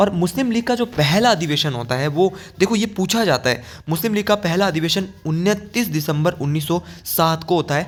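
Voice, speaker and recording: A man speaks at a moderate pace with lively intonation. His pitch is high. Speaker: exam-prep teacher. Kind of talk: lecture.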